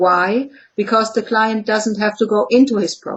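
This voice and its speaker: A woman's fairly high voice with a German accent and fairly even intonation. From Germany. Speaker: clinical psychologist. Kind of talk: interview. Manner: halting.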